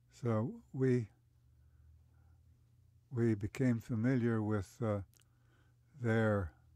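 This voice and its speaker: A man's medium-pitched voice in a dark, mellow tone, fairly even in intonation, with a dry, close sound and no echo. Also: long, frequent pauses. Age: 80s+. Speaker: retired lawyer and construction company head. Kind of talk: interview answer. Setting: recording booth. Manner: hesitant, with many pauses.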